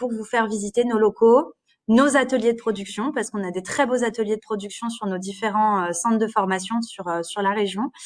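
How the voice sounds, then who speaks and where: A woman at medium pitch and moderate pace, with ordinary pitch variation and a quiet background. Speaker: career guidance advisor at a training centre. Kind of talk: live stream presentation. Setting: Facebook live stream. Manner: hesitant, many fillers.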